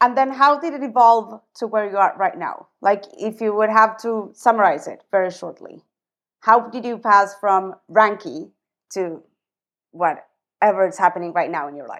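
With an ordinary speaking voice, a woman talks at a moderate pace and fairly high pitch, using lively intonation and big swings in loudness. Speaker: podcast host. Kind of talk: casual interview.

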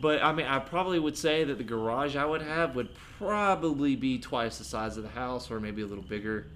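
A man speaks in an ordinary speaking voice at medium pitch. His intonation is lively, his pace fairly quick, with hardly any pauses. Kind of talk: casual chat.

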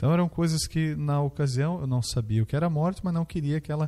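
A man's dark, mellow voice in a dry, close sound with no echo. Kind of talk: testimony.

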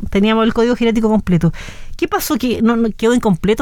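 A woman with a high voice at a very fast pace. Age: 30s. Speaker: radio host. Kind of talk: casual interview. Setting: radio studio.

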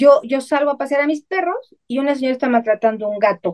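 A woman talks at a fairly quick pace with lively intonation, the sound dry and close with no echo. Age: 50s. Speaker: spiritual channeler and psychic. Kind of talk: interview.

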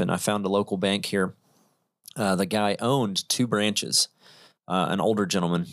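A man's fairly low voice, a normal speaking voice with an American accent. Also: very clean recording, silent background. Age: 30s. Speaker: real estate investor. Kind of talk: casual chat. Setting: studio.

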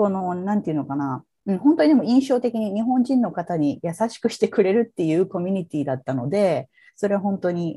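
A woman with a medium-pitched voice and a dark, mellow tone speaks at a fairly quick pace, her pitch swinging very widely. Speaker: psychotherapist and social worker. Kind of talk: interview. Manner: hesitant, many fillers.

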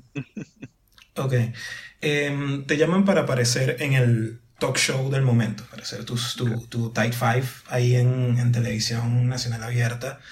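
A man talks at a fairly slow pace with medium pitch and fairly even intonation. Noticeable background noise runs underneath. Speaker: podcast host. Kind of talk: casual chat.

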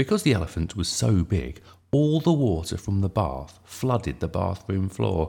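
An unforced reading voice carries the whole clip.

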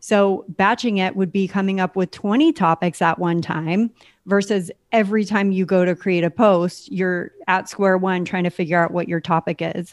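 A woman with a Californian accent speaks at a moderate pace and fairly even intonation, in dry, close sound with no echo. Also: medium pitch for a woman, very clean recording, silent background. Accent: Californian American. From US West Coast, San Diego. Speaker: podcast operations manager. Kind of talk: interview.

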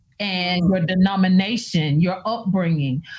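A woman's somewhat breathy voice at a fairly slow pace. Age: 40s. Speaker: minister and prophetess. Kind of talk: casual chat. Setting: live video stream.

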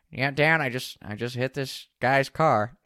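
In a put-on character voice, a man talks at a fairly slow pace with medium pitch and a nasal, raspy sound that is dry and close with no echo.

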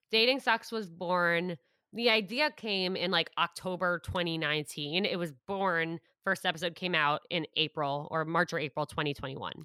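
A woman speaks in a plain, everyday voice, fairly low in pitch, at a moderate pace with ordinary pitch variation. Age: 20s. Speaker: podcast host and content creator. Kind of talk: casual chat.

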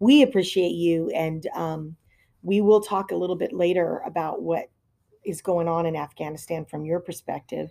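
A woman with a fairly low pitch and a dark, mellow tone speaks at a moderate pace with ordinary pitch variation, on a very clean recording with a silent background. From Hawaii. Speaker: podcast co-host and political volunteer. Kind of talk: podcast interview.

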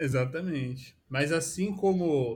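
A man is speaking. His voice is somewhat breathy. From Brazil, São Paulo state interior (São José dos Campos). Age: 30s. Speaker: product designer. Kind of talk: casual interview chat.

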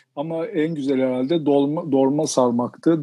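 A man with a plain, everyday voice and a fairly high pitch speaks at a moderate pace with fairly even intonation. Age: 50s. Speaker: sports journalist and writer. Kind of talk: interview.

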